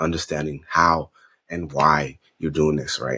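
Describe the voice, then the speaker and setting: With a very deep, low pitch, a man speaks in a bright, sharp tone with vocal fry, the sound dry and close with no echo. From Honduras, Garifuna community. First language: Spanish. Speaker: fashion designer and entrepreneur. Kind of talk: interview. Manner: animated.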